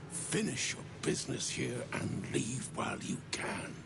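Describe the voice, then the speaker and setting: Someone puts on a character voice, speaking at a fairly slow pace. He is a man, and loud background noise runs behind him. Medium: machinima. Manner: formal, archaic.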